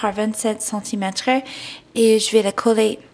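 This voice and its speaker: A woman with an American accent speaks at a fairly high pitch in a monotone, flat intonation. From United States. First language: English (speaking French). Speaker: scrapbooking instructor. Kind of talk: craft tutorial. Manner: hesitant, many fillers (euh) and restarts.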